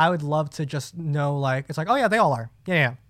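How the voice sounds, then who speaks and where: An unremarkable speaking voice from a man with an American accent, fairly high in pitch with ordinary pitch variation, in a very clean recording with a silent background. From New Jersey. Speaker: podcast co-host. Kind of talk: casual chat.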